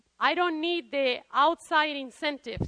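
A woman speaks in a raised, projected voice with a bright, sharp tone. The sound is dry and close, with no echo. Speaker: seminar presenter. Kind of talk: seminar talk. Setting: conference seminar room. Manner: halting.

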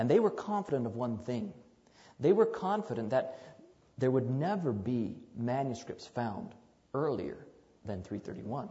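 A man talks at medium pitch and a fairly slow pace, somewhat breathy, with long, frequent pauses. His pitch swings very widely. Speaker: preacher. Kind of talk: sermon to a congregation, Bible teaching with prayer. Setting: church. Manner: conversational and unhurried, with small hesitations and 'um' fillers; warm, inviting, calls for congregational 'amen' replies.

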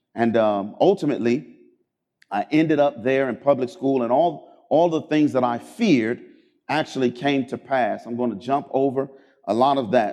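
A man's unremarkable speaking voice at medium pitch, in an American accent, at a fairly slow pace. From Cleveland, Ohio, US. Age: 30s. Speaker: pastor. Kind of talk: sermon.

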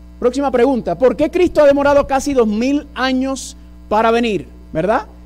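With music in the background, a man speaks in an animated tone at a moderate pace, his pitch extremely high for a man. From US, New York City, Puerto Rican and Dominican parents. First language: English (speaking Spanish). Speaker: preacher. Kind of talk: sermon. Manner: animated, asks audience questions.

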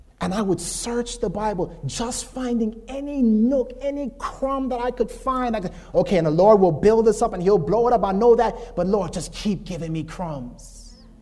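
Moderately paced speech with ordinary pitch variation and hardly any pauses, over noticeable background noise. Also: man, high pitch for a man. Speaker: preacher. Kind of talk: sermon. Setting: church. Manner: animated; call-and-response.

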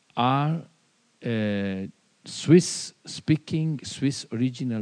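Recorded dry and close with no echo, a man with an Italian accent speaks in a dark, mellow tone with ordinary pitch variation. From Italy. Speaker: pastor. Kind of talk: seminar talk. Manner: halting.

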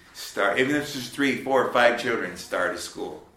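A man talks at a moderate pace. The recording has audible room echo. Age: 50s. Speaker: lay preacher and ministry leader. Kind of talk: lecture. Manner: conversational, with frequent fillers.

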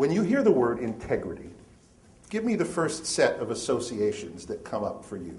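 A man talks at medium pitch and a moderate pace, his pitch swinging very widely. Room echo is audible. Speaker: magazine editor leading a seminar. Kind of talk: seminar talk with audience. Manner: loud.

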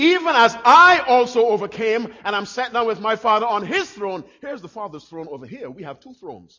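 A man talks at an extremely high pitch and a fairly quick pace, with hardly any pauses, very wide pitch swings and big swings in loudness. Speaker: preacher. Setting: church with live audience. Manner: emphatic, declarative and authoritative, with repetition and rhetorical questions; earnest, urgent and conviction-filled, with pastoral warmth.

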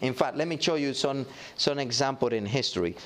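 A man's fairly high voice with a slight Cuban accent, lively intonation and audible room echo. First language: Spanish. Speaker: pastor. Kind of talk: sermon. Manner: halting.

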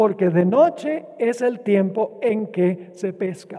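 A man's voice with lively intonation. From Venezuela. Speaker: preacher. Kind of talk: sermon.

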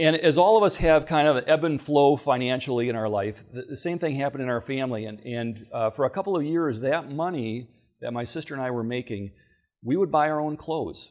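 A man with an ordinary speaking voice talks at a fairly quick pace in an American accent. His fairly high pitch shows ordinary variation over a quiet background. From Michigan. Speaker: financial seminar speaker. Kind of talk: seminar lecture.

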